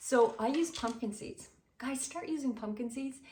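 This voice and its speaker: A woman talks at a high pitch. Her tone is animated. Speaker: cooking video host. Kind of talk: cooking tutorial.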